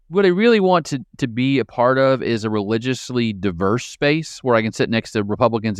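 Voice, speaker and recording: Over a quiet background, a man with a Midwestern American accent talks at a medium pitch. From rural Midwest, Marion County, central Illinois. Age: 40s. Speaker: political science professor and former pastor. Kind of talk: interview conversation.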